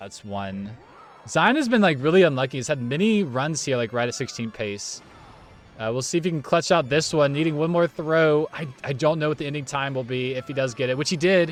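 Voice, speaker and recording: Music plays behind a man with a fairly high voice. He talks fairly quickly with lively intonation. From United States. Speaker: esports commentator. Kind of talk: live commentary. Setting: live stream. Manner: animated.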